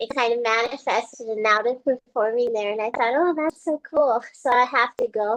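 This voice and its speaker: At a moderate pace and with hardly any pauses, a woman speaks in a high pitch, the sound dry and close with no echo. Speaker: painter and performance artist. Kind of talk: casual interview chat. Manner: hesitant, many fillers.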